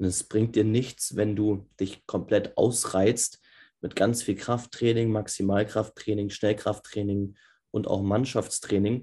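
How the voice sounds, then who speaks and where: Against a quiet background, the speaker talks at a fairly slow pace with a somewhat breathy, dark, mellow tone and monotone, flat intonation. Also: man. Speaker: football podcast host. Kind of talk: tutorial. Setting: remote recording via Zoom.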